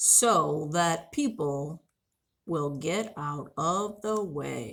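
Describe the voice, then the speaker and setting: A woman does a put-on character voice at a fairly low pitch. She speaks at a very slow pace with lively intonation. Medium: read story. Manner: friendly, proud, explaining.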